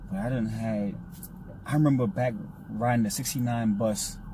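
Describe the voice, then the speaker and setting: A man with an American accent and a medium pitch speaks at a moderate pace with ordinary pitch variation, with audible room echo. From Brooklyn, New York. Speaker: video host. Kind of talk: casual chat. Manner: animated.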